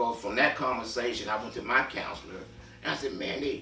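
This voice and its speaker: Over noticeable background noise and audible room echo, a man talks at a fairly quick pace, at medium pitch with ordinary pitch variation. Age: 70s. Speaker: reentry mentor. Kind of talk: personal testimony. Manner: hesitant, with many fillers.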